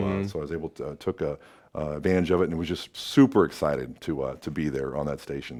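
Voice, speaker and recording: Over a very clean recording with a silent background, the speaker talks very fast with lively intonation and vocal fry. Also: man. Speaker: radio DJ. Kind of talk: interview answer.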